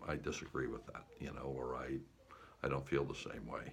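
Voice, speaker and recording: A man with an American accent and a relaxed tone, in a room with audible echo. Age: 70s. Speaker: war veteran and life coach vlogger. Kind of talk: casual motivational monologue. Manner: relaxed, conversational with fillers and repeats.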